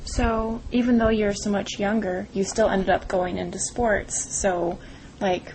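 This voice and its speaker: Noticeable background noise sits behind a woman speaking fairly slowly at medium pitch in a monotone, flat delivery. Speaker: student interviewer. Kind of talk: interview questions.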